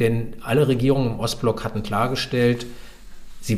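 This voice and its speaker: Somewhat breathy, a man speaks at medium pitch. Room echo is audible. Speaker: historian and author. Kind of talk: interview.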